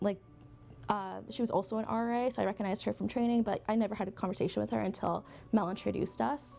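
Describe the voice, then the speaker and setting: Speaking at a very fast pace, a woman with a medium-pitched voice shows vocal fry. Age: 20s. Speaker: graduate film student. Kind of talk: documentary interview.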